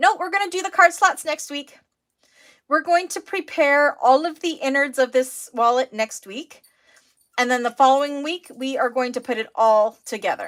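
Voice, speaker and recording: A woman's high-pitched voice with a Canadian accent, lively intonation and a moderate pace. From Canada. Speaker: sewing teacher. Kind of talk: live online class. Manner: mumbling; casual, chatty.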